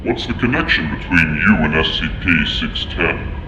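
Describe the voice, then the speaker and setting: Over loud background noise, a man does a put-on character voice at a moderate pace. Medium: audio drama. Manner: formal, measured.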